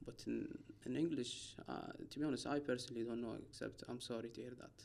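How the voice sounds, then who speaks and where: A man with an Arabic accent speaks at a fairly quick pace. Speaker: doctor. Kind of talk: casual chat. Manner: halting.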